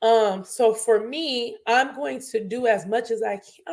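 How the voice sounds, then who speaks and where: A put-on character voice comes through raspy. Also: woman. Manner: earnest, choked up.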